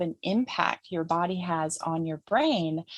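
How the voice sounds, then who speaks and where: A woman speaks at a medium pitch. The sound is dry and close, with no echo. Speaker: trauma healing educator. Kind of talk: summit presentation. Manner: fast.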